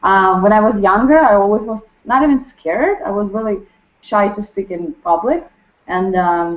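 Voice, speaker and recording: A woman with a Ukrainian accent speaks with very wide pitch swings. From Ukraine. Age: 20s. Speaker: restaurant server. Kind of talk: group introduction. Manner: halting, many fillers.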